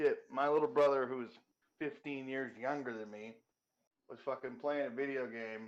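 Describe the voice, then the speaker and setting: Fairly high pitch and ordinary pitch variation from a man. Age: 30s. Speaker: podcast co-host. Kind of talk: casual chat. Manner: animated.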